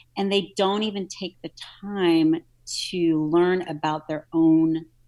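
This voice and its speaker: In an American accent, a woman with a fairly low voice and a dark, mellow tone speaks at a very slow pace with long, frequent pauses, in a very clean recording with a silent background. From US South, New Orleans. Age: 40s. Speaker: nutrition and fitness coach. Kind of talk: casual interview.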